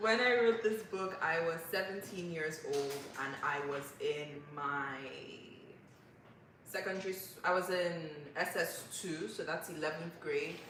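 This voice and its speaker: Pausing long and often, a woman with a fairly low pitch and ordinary pitch variation talks at a fairly slow pace, with audible room echo and noticeable background noise. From Nigeria. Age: 20s. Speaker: author. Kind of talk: interview. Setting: livestream.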